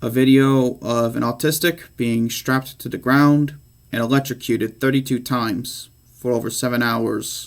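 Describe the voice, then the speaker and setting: A man at medium pitch and a moderate pace, fairly even intonation, in a very clean recording with a silent background. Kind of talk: speech about himself. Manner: unscripted.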